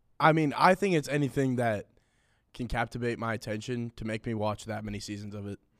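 In a plain, everyday voice, a man with an American accent talks at a fairly quick pace and medium pitch, with ordinary pitch variation and big swings in loudness, his sound dry and close with no echo on a very clean recording with a silent background. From California. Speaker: college student guest. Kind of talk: casual chat.

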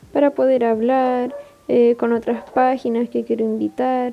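The speaker talks at a moderate pace in a Chilean accent. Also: woman. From Chile, Iquique. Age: 20s. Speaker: podcast host, university student. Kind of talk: casual solo podcast monologue.

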